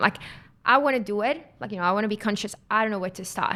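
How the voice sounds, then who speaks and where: With a Mexican accent, a woman of medium pitch speaks in a bright, sharp tone on a very clean recording with a silent background. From Mexico. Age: 20s. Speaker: climate company employee. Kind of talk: podcast interview.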